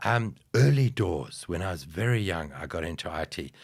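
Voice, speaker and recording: A man speaks with very deep, low pitch and vocal fry, his pitch swinging very widely. The recording is very clean, with a silent background. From South Africa, outside Johannesburg. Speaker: IT strategist, podcast guest. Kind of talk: casual interview chat.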